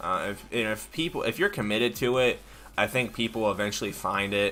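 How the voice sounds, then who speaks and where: The speech comes at a very fast pace. Music plays in the background. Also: man. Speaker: tech YouTuber streamer. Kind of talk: live stream chat answering viewer questions. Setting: live stream. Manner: many filler ums and hesitations.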